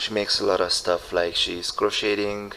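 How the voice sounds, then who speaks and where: A man speaks at a fairly slow pace with a Hungarian accent. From Hungary. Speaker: show host. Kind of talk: casual interview chat. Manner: halting, many fillers.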